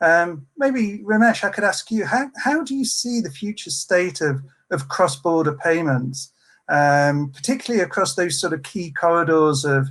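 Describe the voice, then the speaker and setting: Very wide pitch swings at a moderate pace, on a very clean recording with a silent background. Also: man, high pitch for a man. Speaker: panel moderator. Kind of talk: panel discussion. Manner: halting, many repetitions.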